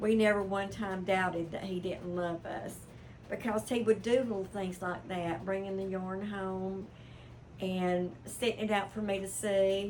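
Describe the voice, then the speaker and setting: A woman at medium pitch speaks in an American accent at a fairly slow pace. Her intonation is fairly even, with audible room echo. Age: 70s. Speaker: crochet hobby vlogger. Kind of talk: casual chat. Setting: sunroom at home. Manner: relaxed, conversational.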